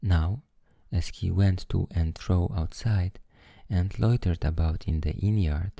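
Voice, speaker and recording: Soft-spoken and somewhat breathy, a man with a very deep, low pitch and a dark, mellow tone keeps a very even loudness and ordinary pitch variation. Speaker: storyteller. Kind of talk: bedtime story reading. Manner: soothing, soft.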